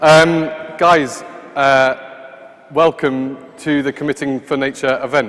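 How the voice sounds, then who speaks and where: Noticeable noise sits behind a man whose pitch is medium. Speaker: event host. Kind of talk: event opening remarks. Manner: halting, many fillers.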